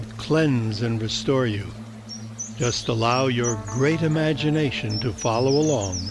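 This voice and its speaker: Music plays in the background as a man speaks in a soothing tone. His intonation is lively. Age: 80s+. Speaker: meditation guide. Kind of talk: guided meditation. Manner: slow, soothing.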